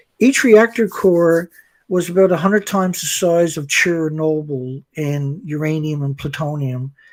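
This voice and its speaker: Here is a man with a plain, everyday voice. He speaks fairly slowly at a fairly high pitch. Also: ordinary pitch variation. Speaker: anti-nuclear activist. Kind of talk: explanatory interview talk. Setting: live stream video call.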